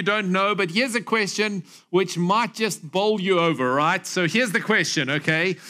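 A man projects a raised voice at a moderate pace. His tone is bright and sharp. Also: quiet background. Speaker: pastor. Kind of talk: sermon. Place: church. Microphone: headset.

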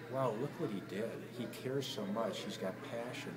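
A man speaks in a warm, enthusiastic tone over loud background noise. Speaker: bank CEO giving a client testimonial. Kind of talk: client testimonial addressed to the speaker. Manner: warm, sincere, enthusiastic. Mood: warm, admiring. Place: hall. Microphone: phone near.

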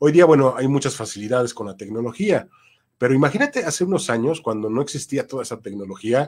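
A man of medium pitch speaks in a plain, everyday voice with lively intonation. The recording is very clean, with a silent background. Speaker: voice-over announcer and voice acting teacher. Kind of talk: interview conversation.

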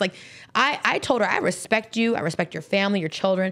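With ordinary pitch variation, a woman at medium pitch talks in a plain, everyday voice. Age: 30s. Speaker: entrepreneur in cannabis industry. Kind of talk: casual chat.

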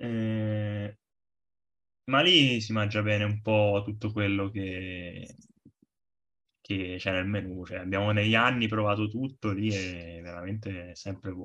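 A man speaks very slowly in a fairly low pitch, with long, frequent pauses. His tone is bright and sharp. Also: fairly even intonation. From Arezzo, Tuscany, Italy. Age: 20s. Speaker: football fan, trainee lawyer. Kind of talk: casual chat.

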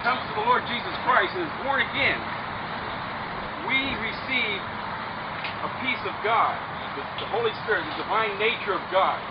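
A man at a moderate pace, loud background noise around him. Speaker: preacher, street minister. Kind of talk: sermon to a group outdoors before a baptism. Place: beach. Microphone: camera far.

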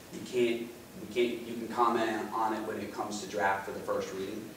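A man speaks in a monotone, flat intonation. Audible room echo and light background noise are present. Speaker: town councilman. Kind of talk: meeting remarks. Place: meeting room. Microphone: camera far.

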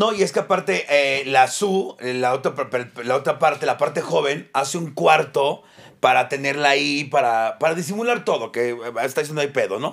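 Against a quiet background, a man speaks at a moderate pace. His pitch is fairly high and his intonation lively. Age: 40s. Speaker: comedian podcast co-host. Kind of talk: casual chat. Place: studio. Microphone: studio mic.

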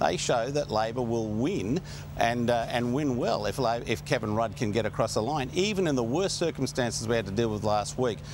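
A man speaks at a fairly quick pace with very wide pitch swings, in a dry sound with no echo and noticeable background noise. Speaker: political commentator, remote guest. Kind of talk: interview answer. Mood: argumentative, insistent. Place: studio.

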